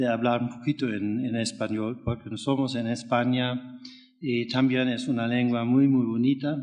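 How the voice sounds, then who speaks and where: A man with a non-native accent, medium pitch, monotone, flat intonation and a fairly slow pace. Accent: foreign, non-native Spanish. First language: not Spanish (speaking Spanish). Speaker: anti-corruption organization founder. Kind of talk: acceptance speech. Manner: halting.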